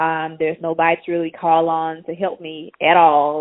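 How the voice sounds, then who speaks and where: A woman with a strong Mississippi accent speaks at a fairly low pitch. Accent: Mississippi Southern, strong. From Mississippi, US South. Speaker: tech entrepreneur. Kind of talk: casual interview.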